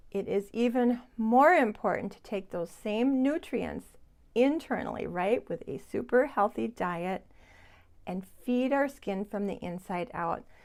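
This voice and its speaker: In a very clean recording with a silent background, a woman with a normal speaking voice talks at a fairly slow pace, her fairly high pitch carried by lively intonation and big swings in loudness. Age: 60s. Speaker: beauty vlogger. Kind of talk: tutorial. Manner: chatty.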